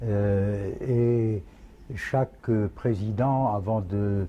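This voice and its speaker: A man's fairly low, somewhat breathy voice with a dark, mellow tone and ordinary pitch variation. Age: 80s+. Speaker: royal pretender. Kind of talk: interview answer.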